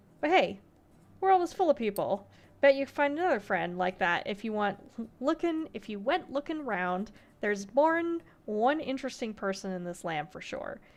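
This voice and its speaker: A female-sounding, gravelly, put-on character voice with a high pitch and very wide pitch swings speaks at a moderate pace over a quiet background. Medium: game stream. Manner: sly, folksy, knowing.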